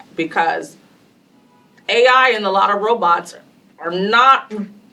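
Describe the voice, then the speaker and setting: Over noticeable background noise, a woman with an American accent speaks with ordinary pitch variation. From US South. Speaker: panelist, tech industry leader. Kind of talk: panel discussion.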